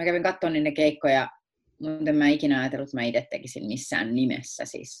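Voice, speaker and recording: A woman speaks in a very deep, low pitch. Her pace is fairly quick and her intonation fairly even. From Finland, Tampere region (Viiala). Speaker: stand-up comedian. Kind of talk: casual interview chat.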